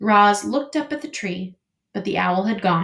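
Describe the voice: Over a quiet background, the plain reading aloud moves with lively intonation.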